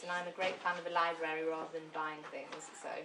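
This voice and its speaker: At a very fast pace, a woman talks in a northern British accent over noticeable background noise. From northern England, born in Glasgow. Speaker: performer reading at an arts salon. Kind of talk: casual spoken introduction.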